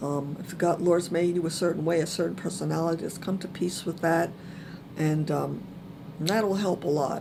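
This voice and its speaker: Soft-spoken and monotone, a woman with a fairly low pitch talks at a moderate pace amid audible room echo. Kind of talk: personal testimony talk. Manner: hesitant, many fillers.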